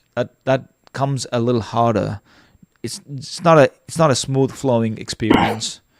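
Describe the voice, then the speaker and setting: A man's medium-pitched voice with a non-native accent. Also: ordinary pitch variation, moderate pace. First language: not English. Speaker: live stream debate host. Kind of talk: casual chat. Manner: halting.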